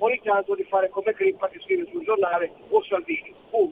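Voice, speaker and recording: Pitched extremely high, a man talks at a fairly quick pace. His pitch swings very widely. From Friuli Venezia Giulia. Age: 70s. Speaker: radio caller. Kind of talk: phone-in call. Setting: phone call from a car, hands-free. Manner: fast.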